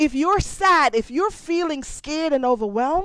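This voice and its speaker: A woman speaks with a Jamaican accent. Her pitch swings very widely. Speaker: motivational speaker. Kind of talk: motivational talk.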